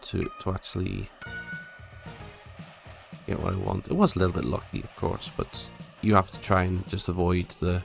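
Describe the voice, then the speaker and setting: A man speaks at a moderate pace with a very deep, low pitch. Music plays in the background. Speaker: gaming commentator. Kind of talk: casual gameplay commentary.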